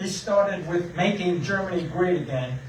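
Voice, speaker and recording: A man with a high pitch speaks at a very slow pace, with audible room echo and noticeable background noise. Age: 80s+. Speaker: veteran speaking at public comment. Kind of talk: public comment at meeting. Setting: public meeting room. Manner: halting.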